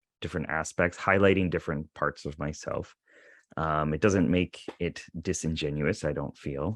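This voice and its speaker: A man's very deep, low voice at a moderate pace, fairly even in intonation, with a dry, close sound with no echo and a quiet background. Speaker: YouTuber, psychology content creator. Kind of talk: casual chat.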